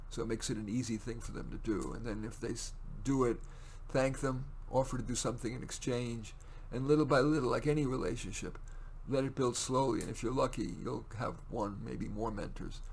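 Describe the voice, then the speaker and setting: This man talks at a medium pitch with fairly even intonation and vocal fry. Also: fairly quick pace. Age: 70s. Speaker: career counselor and podcast host. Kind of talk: solo monologue. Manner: rambling, conversational with fillers.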